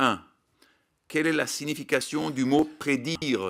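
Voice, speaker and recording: A man with a Belgian accent at medium pitch, ordinary pitch variation and a very slow pace, in a very clean recording with a silent background. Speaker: scientific expert, animal welfare advocate. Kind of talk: prepared statement at parliamentary hearing. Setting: public parliamentary hearing. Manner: formal.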